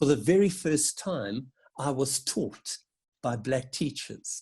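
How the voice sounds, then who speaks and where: At a very slow pace, a man with a fairly high pitch speaks in a dark, mellow, somewhat breathy tone with lively intonation. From South Africa. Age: 60s. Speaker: Methodist minister. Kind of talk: interview answer. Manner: reflective, with hesitations.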